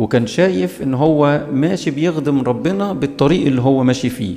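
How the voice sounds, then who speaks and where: Here a man speaks at a moderate pace. His pitch varies in an ordinary way. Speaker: bible study teacher. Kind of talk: sermon-style bible lecture. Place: church.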